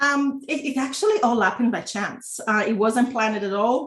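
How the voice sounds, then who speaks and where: A woman's voice sits fairly high in pitch, and her intonation stays fairly even. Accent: slight Italian. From Italy. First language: Italian. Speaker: entrepreneur and former lawyer. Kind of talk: interview. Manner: halting, many fillers.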